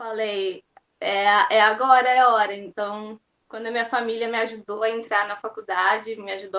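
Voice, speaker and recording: A woman's bright, sharp tone sits at medium pitch, delivered at a moderate pace with monotone, flat intonation. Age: 20s. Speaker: university student. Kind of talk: interview.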